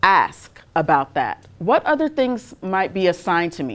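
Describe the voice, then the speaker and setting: A woman's voice with a slight Trinidadian accent. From Trinidad and Tobago. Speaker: fashion industry manager and designer. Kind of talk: guest talk and Q&A.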